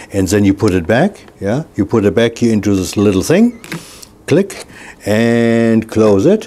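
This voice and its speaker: A man talks over noticeable background noise. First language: not English. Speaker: product reviewer / home video maker. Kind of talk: tutorial. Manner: casual, halting with fillers.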